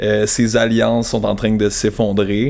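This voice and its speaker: A man speaks at a medium pitch. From Quebec, Sherbrooke. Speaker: international affairs professional. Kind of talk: casual chat.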